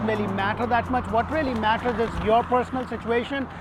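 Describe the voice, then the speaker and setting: Someone with a non-native accent talks at a fairly quick pace. Background noise is noticeable. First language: not English. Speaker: real estate agent, community video host. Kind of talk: informational vlog presentation.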